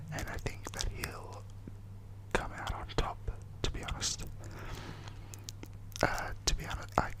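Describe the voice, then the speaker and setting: A man whispers at a fairly slow pace against noticeable background noise. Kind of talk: ASMR wrestling predictions, casual talk to camera. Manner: whispered.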